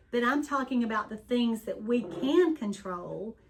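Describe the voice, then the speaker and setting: Noticeable background noise surrounds a woman speaking at a fairly slow rate. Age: 60s. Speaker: wellness tea business owner and channel co-host. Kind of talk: casual chat.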